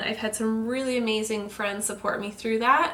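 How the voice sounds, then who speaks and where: Background noise is noticeable, along with audible room echo. A woman speaks at a fairly high pitch and a moderate pace. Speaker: self-help vlogger. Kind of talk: casual vlog monologue.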